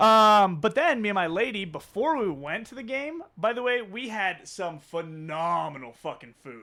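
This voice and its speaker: On a very clean recording with a silent background, a man speaks at a high pitch in a raised, projected voice with a bright, sharp, animated tone, very wide pitch swings, big swings in loudness, a moderate pace and hardly any pauses. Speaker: sports podcast co-host. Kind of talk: casual chat.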